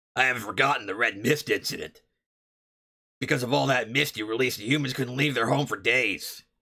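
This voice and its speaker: A man puts on a raspy, gruff character voice at a medium pitch. He speaks at a fairly quick pace. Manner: gruff, smoker-like.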